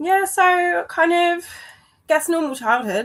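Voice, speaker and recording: A woman talks at a fairly slow pace with a London accent. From East London. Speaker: runner, recovering addict. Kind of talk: interview.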